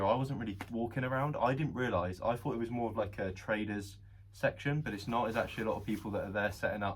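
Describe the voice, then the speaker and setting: Speaking very fast, a man with a southern English accent uses a medium-pitched, somewhat breathy voice. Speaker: reseller vlogger. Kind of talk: casual vlog monologue. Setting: shop floor. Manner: hesitant, with pauses.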